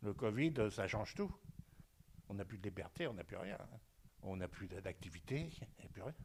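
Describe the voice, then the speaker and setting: Man's somewhat breathy voice, very wide pitch swings, a moderate pace and long, frequent pauses. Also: fairly low pitch for a man. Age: 70s. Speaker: nursing home resident. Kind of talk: interview testimony. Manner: halting, with many hesitations.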